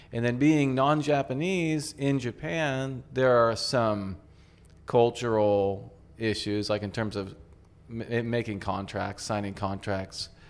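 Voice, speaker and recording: Very slow speech with ordinary pitch variation over background music. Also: man, medium pitch for a man. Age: 50s. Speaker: craft brewery co-owner. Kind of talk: casual chat. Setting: in a bar.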